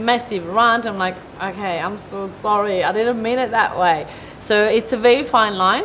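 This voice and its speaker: A woman talks at a moderate pace and fairly high pitch, with ordinary pitch variation. Noticeable background noise runs underneath. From Italy. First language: Italian. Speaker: business owner, event organizer. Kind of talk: interview. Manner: animated.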